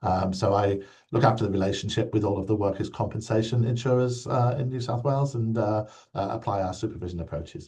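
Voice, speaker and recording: Against a quiet background, a man with a British accent talks very fast in a dark, mellow, somewhat breathy tone. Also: fairly low pitch for a man, ordinary pitch variation. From UK. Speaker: insurance regulator, former nurse. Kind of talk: interview. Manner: hesitant, many fillers.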